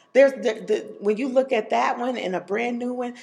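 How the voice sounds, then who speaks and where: There is noticeable background noise behind a woman whose fairly high pitch shows ordinary variation. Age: 40s. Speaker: educator. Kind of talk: casual interview. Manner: bubbly.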